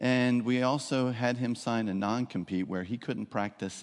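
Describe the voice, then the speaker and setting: A man with an ordinary speaking voice and ordinary pitch variation at a moderate pace, against a quiet background. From South Jersey, US. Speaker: physician guest preacher. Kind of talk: sermon. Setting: church with congregation.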